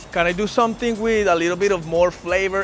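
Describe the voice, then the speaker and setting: With music playing behind him, a man talks fairly quickly in a high pitch and fairly even intonation. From Colombia. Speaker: vlogger. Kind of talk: casual vlog talk. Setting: outdoors.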